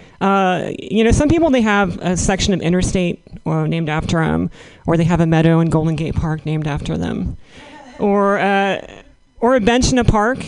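Lively intonation from a woman at a medium pitch, a fairly quick pace and audible room echo. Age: 30s. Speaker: comedian. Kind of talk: stand-up.

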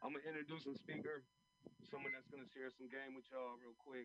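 This man has an animated tone. He talks at a fairly quick pace. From US West Coast, San Francisco. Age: 40s. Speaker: rally emcee. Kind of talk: rally speech. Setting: outdoors. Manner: animated, hyping up the crowd.

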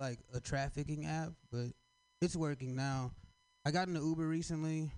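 A man with an ordinary speaking voice and a fairly high pitch talks at a fairly slow pace with fairly even intonation. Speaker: comedian. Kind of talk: stand-up. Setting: stage with audience.

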